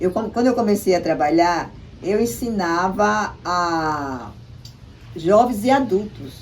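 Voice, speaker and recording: In a room with audible echo, a woman at medium pitch speaks at a very slow pace, her voice swinging very widely in pitch. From Brazil, Paraíba, Potiguara village. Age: 70s. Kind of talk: interview. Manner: halting, with many repetitions.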